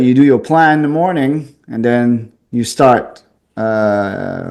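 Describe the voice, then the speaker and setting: Medium in pitch, a man's voice carries ordinary pitch variation. The tone is dark and mellow. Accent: strong Quebec. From Quebec City, French Canada. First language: French. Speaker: pest control business owner. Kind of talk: interview.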